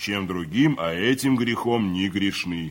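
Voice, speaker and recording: A man uses a put-on character voice with a fairly low pitch. He keeps a moderate pace and ordinary pitch variation. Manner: curt, through gritted teeth.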